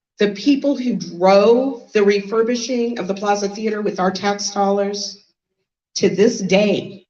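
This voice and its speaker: A woman talks in an American accent with a dark, mellow tone. Her pitch varies in an ordinary way. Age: 60s. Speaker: lawyer and keynote speaker. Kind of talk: keynote speech.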